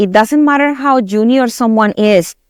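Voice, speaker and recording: A woman with a Spanish accent speaks at a moderate pace in a fairly high pitch. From Colombia. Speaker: tech company director. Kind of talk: podcast interview.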